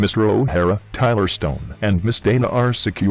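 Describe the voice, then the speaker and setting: Putting on a cartoonish character voice, a man speaks at a moderate pace in a fairly low pitch. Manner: polite, formal.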